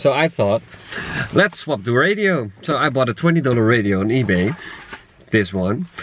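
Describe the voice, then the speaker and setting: A man with a Dutch accent, very wide pitch swings and long, frequent pauses, over noticeable background noise. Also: medium pitch for a man, moderate pace. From Netherlands. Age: 20s. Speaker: travel vlogger. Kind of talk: vlog narration.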